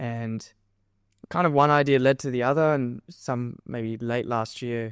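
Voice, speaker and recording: A man with an Australian accent, medium pitch and fairly even intonation, recorded dry and close with no echo. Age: 20s. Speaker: physiotherapy student and endurance runner. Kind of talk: podcast interview. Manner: halting, many fillers.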